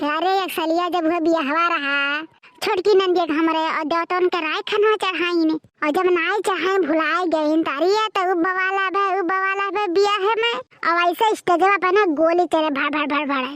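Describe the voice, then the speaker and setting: A cartoonish character voice delivers the lines at a moderate pace with fairly even intonation. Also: woman, extremely high pitch for a woman. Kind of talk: cartoon comedy. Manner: loud, rambling, boastful.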